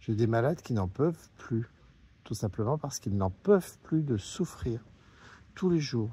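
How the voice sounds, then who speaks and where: Speaking at a fairly slow pace with long, frequent pauses, a man sounds somewhat breathy and has a dark, mellow tone on a very clean recording with a silent background. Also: medium pitch for a man. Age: 60s. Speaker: patient association president. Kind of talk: open address to a politician. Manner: hesitant, many fillers.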